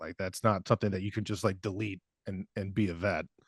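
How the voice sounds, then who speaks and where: A man is heard with a dry, close sound and no echo. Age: 40s. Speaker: veterinary neurologist and channel host. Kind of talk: interview podcast. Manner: casual, hesitant with fillers.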